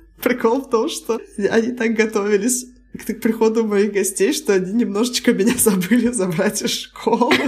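Noticeable background noise beneath a fairly high-pitched woman's voice, its intonation fairly even. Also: moderate pace. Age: 30s. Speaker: podcast co-host. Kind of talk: casual chat.

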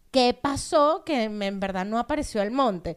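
On a very clean recording with a silent background, a woman with a plain, everyday voice speaks at a fairly high pitch and a moderate pace, with ordinary pitch variation. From Venezuela, Los Teques. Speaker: comedian. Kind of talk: casual chat.

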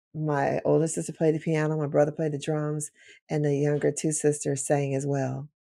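A dark, mellow tone with an American accent, monotone, flat intonation and a moderate pace, on a very clean recording with a silent background. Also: woman, very deep, low pitch for a woman. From Chicago, South Side. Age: 50s. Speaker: deliverance minister. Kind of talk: interview testimony.

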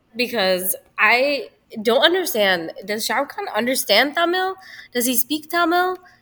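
Here a woman speaks in a raised, projected voice. Her high pitch makes very wide swings. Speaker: guest. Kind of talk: casual chat.

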